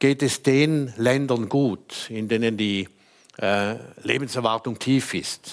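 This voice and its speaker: A man speaks very slowly at a medium pitch, leaving long, frequent pauses and keeping his intonation fairly even. The recording is very clean, with a silent background. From Switzerland, St. Gallen. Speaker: lawyer and former politician. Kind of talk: panel debate. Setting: stage with audience.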